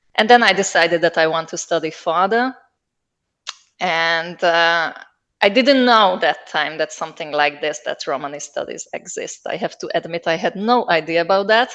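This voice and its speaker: In a Hungarian accent, a woman with a fairly low voice speaks with ordinary pitch variation against a quiet background. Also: moderate pace. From southern Slovakia, Hungarian-speaking minority near Hungarian border. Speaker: linguist, researcher. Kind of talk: interview. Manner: hesitant, many fillers.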